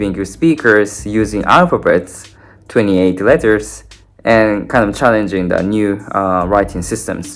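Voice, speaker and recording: A man with a Japanese accent, fairly low in pitch, at a fairly slow pace with ordinary pitch variation. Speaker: language learning content creator. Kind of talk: casual talk to camera. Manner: halting, many fillers.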